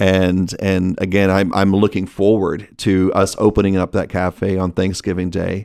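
With a Texan accent, a man speaks in a very deep, low pitch and a monotone, flat intonation, with hardly any pauses. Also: moderate pace, very clean recording, silent background. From Texas. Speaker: restaurant executive. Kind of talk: casual interview.

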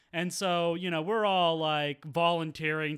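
Speaking at a fairly slow pace, a man uses an ordinary speaking voice pitched fairly high. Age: 30s. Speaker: world traveler. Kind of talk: casual chat.

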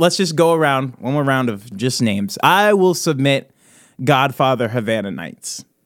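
A medium-pitched man with a Midwestern US accent at a moderate pace and very wide pitch swings. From US Midwest. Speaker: podcast host. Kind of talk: casual chat.

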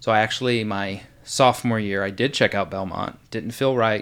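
A man with an American accent talks at a fairly quick pace, fairly low in pitch with fairly even intonation, in an unremarkable speaking voice. The recording is very clean, with a silent background. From Indiana. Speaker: artist management associate. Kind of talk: casual interview.

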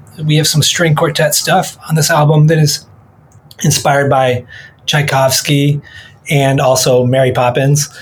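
Over noticeable background noise, a man with an American accent speaks fairly slowly at a fairly high pitch, with monotone, flat intonation, very even loudness, and long, frequent pauses. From Michigan, US. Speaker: jazz pianist and music director. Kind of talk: casual interview chat.

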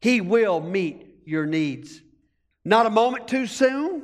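This man's high-pitched voice moves through very wide pitch swings. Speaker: pastor. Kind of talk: sermon. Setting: church. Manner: animated.

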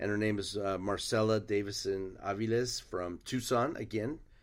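The recording is very clean and the background silent as a man speaks at a fairly low pitch and a fairly slow pace. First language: Spanish. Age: 50s. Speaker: cartoonist. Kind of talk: interview. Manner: halting.

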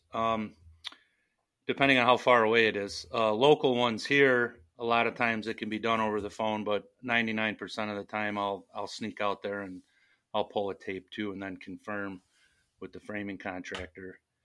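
A normal speaking voice at a moderate pace, with big swings in loudness, in a very clean recording with a silent background. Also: man, fairly low pitch for a man. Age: 40s. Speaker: roof framing carpenter. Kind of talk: interview.

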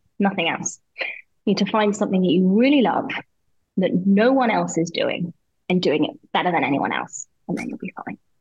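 A woman talks in a British accent. Her voice is somewhat breathy. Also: medium pitch for a woman, lively intonation, moderate pace. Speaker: business owner and mentor. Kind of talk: casual interview conversation. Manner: animated, expressive.

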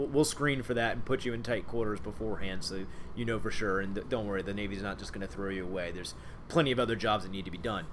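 Very fast and at a fairly low pitch with ordinary variation, a man speaks in an American accent amid audible room echo. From Ohio, Cincinnati. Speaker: naval officer. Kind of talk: interview, role-played in first person as a submarine; casual interview about own career.

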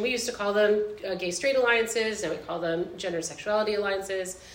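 The voice is a woman's, pitched in the medium range. Background noise can clearly be heard. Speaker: high school art teacher. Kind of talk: live panel discussion. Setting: stage with audience.

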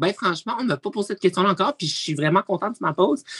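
A woman speaks very fast at a medium pitch, with a dry, close sound and no echo. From Quebec, Abitibi-Témiscamingue. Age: 20s. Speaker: reality TV personality. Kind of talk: casual interview.

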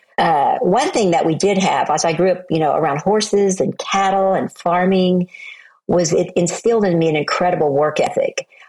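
With an American accent, a woman talks at a very even loudness over noticeable background noise. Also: medium pitch for a woman, ordinary pitch variation, moderate pace. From US South, Oklahoma. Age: 60s. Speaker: motivational speaker and author. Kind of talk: interview.

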